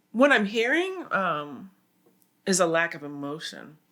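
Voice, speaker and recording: Speaking at a very slow pace, a woman uses very wide pitch swings, a bright, sharp tone and vocal fry. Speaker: musician. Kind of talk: casual chat.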